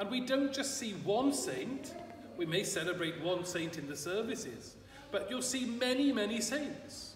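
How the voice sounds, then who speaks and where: With light background noise and audible room echo, a man speaks with lively intonation. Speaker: priest. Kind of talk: sermon. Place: church. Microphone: camera far.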